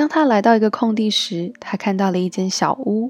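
A woman's fairly high-pitched, unremarkable speaking voice, with ordinary pitch variation and a dry, close sound with no echo. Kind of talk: bedtime story reading aloud, German then Chinese translation. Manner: gentle storyteller, even and measured pacing.

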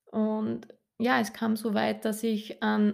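A woman is speaking. She has a rural Austrian accent. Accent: Austrian, audibly rural. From Austria, rural Upper Austria. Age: 30s. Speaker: life coach and kinesiologist. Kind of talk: solo podcast monologue. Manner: cheerful, warm.

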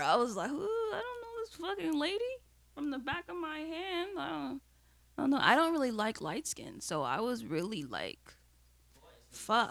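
Against noticeable background noise, a woman with a high pitch talks at a moderate pace, her pitch swinging very widely. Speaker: podcast co-host.

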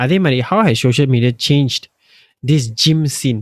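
A man in a normal speaking voice talks at a fairly quick pace, his pitch moving in ordinary ways. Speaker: podcast co-host. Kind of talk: casual chat. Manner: joking.

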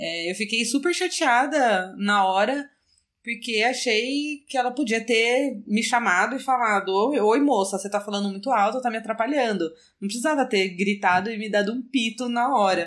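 An ordinary speaking voice with ordinary pitch variation moves at a moderate pace on a very clean recording with a silent background. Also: woman, fairly high pitch for a woman. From Brazil, São Paulo city. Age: 30s. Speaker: podcast guest. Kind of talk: casual chat.

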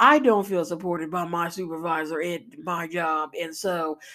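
This woman speaks at a fairly slow pace in a fairly low voice, her intonation fairly even. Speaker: podcast host. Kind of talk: casual personal monologue. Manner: rambling, halting with fillers.

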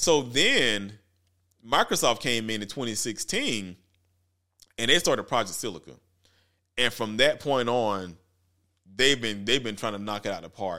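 With a bright, sharp tone and ordinary pitch variation, a man speaks at a moderate pace with long, frequent pauses in a very clean recording against a silent background. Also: medium pitch for a man. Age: 40s. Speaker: tech podcast host. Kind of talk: casual monologue.

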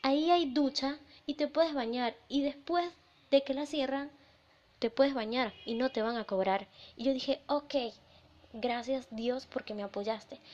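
A woman speaks in an animated tone with a high voice and ordinary pitch variation, at a fairly slow pace broken by long, frequent pauses. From Venezuela. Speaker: podcast host. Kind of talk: personal storytelling.

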